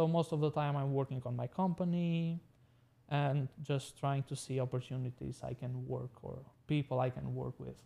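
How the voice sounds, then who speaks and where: Somewhat breathy, a man speaks at a moderate pace with a dark, mellow tone. His intonation stays fairly even. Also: medium pitch for a man. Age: 20s. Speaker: tech business owner. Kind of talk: casual interview. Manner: halting.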